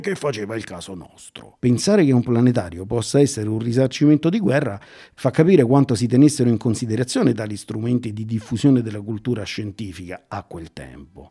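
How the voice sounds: The voice has a dark, mellow tone with a slightly husky edge, moving at a moderate pace. The recording is very clean, with a silent background. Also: man.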